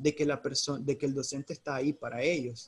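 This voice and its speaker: The pace is fairly slow. A somewhat breathy man is speaking. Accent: Nicaraguan. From Nicaragua. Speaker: teacher. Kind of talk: expert interview. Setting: Facebook Live stream.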